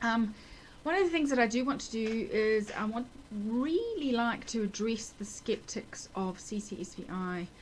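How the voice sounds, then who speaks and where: A fairly high-pitched woman with a New Zealand accent, moderate pace, and ordinary pitch variation. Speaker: nurse with multiple sclerosis, video blogger. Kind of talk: personal video diary. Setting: at home. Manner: halting, many fillers.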